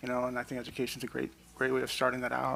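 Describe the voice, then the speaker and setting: A man mumbles at a very fast pace in a bright, sharp tone. His pitch is medium and his intonation monotone and flat. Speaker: police commissioner. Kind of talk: public meeting discussion. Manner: mumbling.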